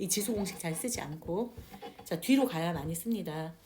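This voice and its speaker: Noticeable background noise sits under speech that proceeds at a moderate pace. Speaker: math teacher. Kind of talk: classroom lecture.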